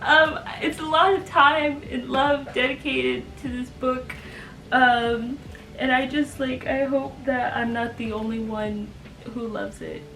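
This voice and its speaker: Speaking at a fairly slow pace, a woman's high voice shows ordinary pitch variation and big swings in loudness. The room echo is audible, and there is noticeable background noise. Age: 20s. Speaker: aspiring author and content creator. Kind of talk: casual chat to camera. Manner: halting, many fillers.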